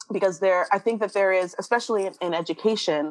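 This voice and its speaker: The intonation is lively and the pace moderate. The sound is dry and close, with no echo. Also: woman. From Canada, Toronto. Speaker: tech justice director and MBA student. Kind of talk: interview. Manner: animated.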